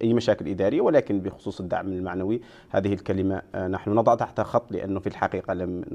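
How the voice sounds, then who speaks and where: Against a quiet background, a man talks with a fairly low pitch, fairly even intonation and a dark, mellow tone. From Mauritania. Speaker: festival media officer; guest. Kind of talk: TV interview. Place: studio.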